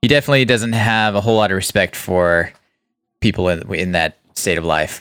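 A man's normal speaking voice, a normal speaking voice of medium pitch at a fairly quick pace, on a very clean recording with a silent background. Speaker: podcast host. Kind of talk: casual movie review chat.

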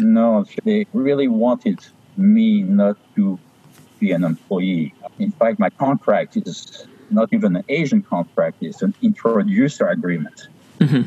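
A man speaks with a French accent. His pace is fairly slow. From France (Paris). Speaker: stamp dealer. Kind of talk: interview. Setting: video call.

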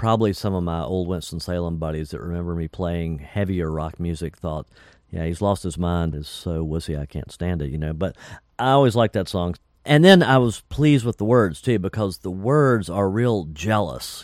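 With lively intonation and a very deep, low pitch, a man speaks in an American accent at a moderate pace on a very clean recording with a silent background. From North Carolina. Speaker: musician and record producer. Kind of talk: interview storytelling.

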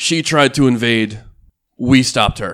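A man puts on a character voice at a medium pitch and a moderate pace. The recording is very clean, with a silent background. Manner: commanding, proclaiming.

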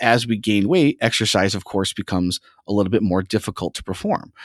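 A man with an ordinary speaking voice at a moderate pace and ordinary pitch variation, in a very clean recording with a silent background and a dry, close sound with no echo. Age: 30s. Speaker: exercise science professor. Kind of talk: interview.

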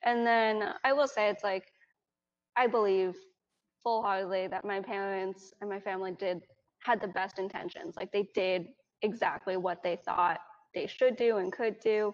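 A woman with an American accent speaks at a moderate pace and a medium pitch. It is a plain, everyday voice with fairly even intonation. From New York, US. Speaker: Chinese adoptee. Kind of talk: casual chat.

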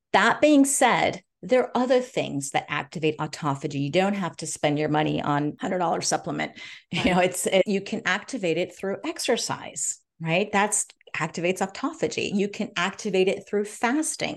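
With a Californian accent, a woman speaks in very wide pitch swings. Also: medium pitch for a woman, moderate pace. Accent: General American (California). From US, Los Angeles. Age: 50s. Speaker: gerontologist and biohacker. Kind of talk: interview.

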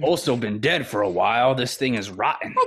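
A man's put-on character voice at medium pitch, with a fairly quick pace. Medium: actual play. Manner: polite, shrewd bargaining.

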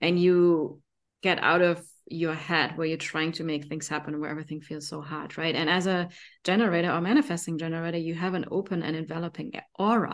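With a German accent, a woman speaks fairly quickly in a fairly low voice with fairly even intonation, on a very clean recording with a silent background. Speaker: podcast co-host and business partner. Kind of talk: casual collaborative podcast chat.

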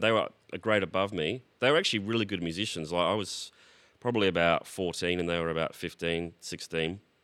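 A man with an Australian accent and a fairly low pitch has a bright, sharp tone. He talks at a moderate pace with ordinary pitch variation on a very clean recording with a silent background. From Australia, Brisbane. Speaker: singer-songwriter and multi-instrumentalist. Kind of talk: casual interview chat.

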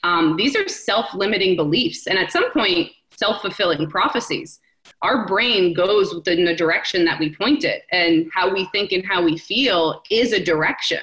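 A woman speaks in an ordinary speaking voice with an American accent, at a medium pitch with ordinary pitch variation and a moderate pace. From New Jersey, US. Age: 30s. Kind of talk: casual interview chat.

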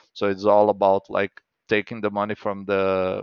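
A man speaks with a Brazilian Portuguese accent at a fairly low pitch. His intonation is monotone and flat. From Brazil, small town. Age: 30s. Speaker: comic book artist. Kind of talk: casual interview.

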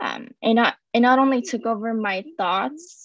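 At a fairly slow pace and against a quiet background, a woman with a plain, everyday voice speaks with ordinary pitch variation. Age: young. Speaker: guest sharing faith testimony. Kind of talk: testimony.

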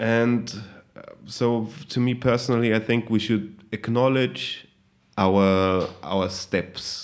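In a German accent, a man talks at a very slow pace with a medium pitch, fairly even intonation and very even loudness. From Austria, Salzburg region. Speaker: hip hop musician. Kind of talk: casual interview.

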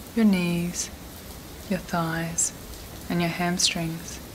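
Over noticeable background noise, a woman speaks at a very slow pace in a soothing, calm tone. Her fairly low voice stays monotone and flat. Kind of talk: guided meditation. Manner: slow, soothing, calm and gentle; soft-spoken with long pauses.

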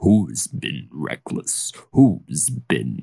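A man speaks at a very slow pace. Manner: bitter, grave, menacing.

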